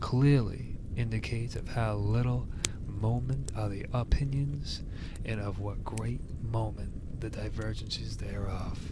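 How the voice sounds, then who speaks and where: This man has a very deep, low pitch with very wide pitch swings. He talks at a fairly slow pace over noticeable background noise. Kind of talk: soft-spoken ASMR book reading. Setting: recorded with ear-to-ear binaural microphone and campfire sound. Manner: soft-spoken, quiet.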